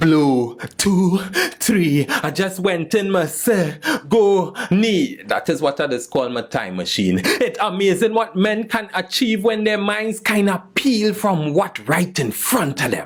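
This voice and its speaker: Over noticeable background noise, a man with a high voice speaks very slowly. His intonation is lively, and he takes hardly any pauses. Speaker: spoken word poet. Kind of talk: spoken word poetry performance.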